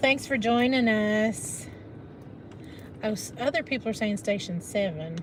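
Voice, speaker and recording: Over noticeable background noise, a woman with a fairly high voice and lively intonation speaks at a fairly slow pace, with long, frequent pauses. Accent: American. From Northeast Arkansas. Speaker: live stream co-host. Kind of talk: casual live stream chat.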